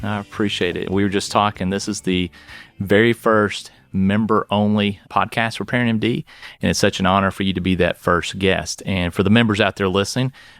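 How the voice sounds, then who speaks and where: Music plays in the background as a man speaks at a fairly quick pace with a fairly low pitch and fairly even intonation, the sound dry and close with no echo. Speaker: pediatrician, podcast host. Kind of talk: podcast interview host.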